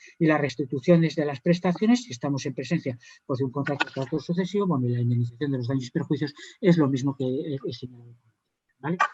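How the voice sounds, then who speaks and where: A man's fairly high-pitched, somewhat breathy voice with a dark, mellow tone and a very fast pace. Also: ordinary pitch variation. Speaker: judge. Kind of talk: conference panel talk.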